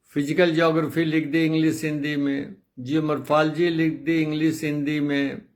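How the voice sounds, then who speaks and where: A man's fairly high voice in a monotone, flat intonation with hardly any pauses, under audible room echo. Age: 80s+. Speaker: retired geography professor and author. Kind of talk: casual talk to viewers.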